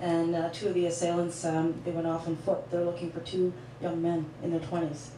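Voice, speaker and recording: A woman with a fairly low pitch speaks at a moderate pace. Audible room echo and light background noise surround her voice. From Jamaica. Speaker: talk show host. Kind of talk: casual interview. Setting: studio with live audience.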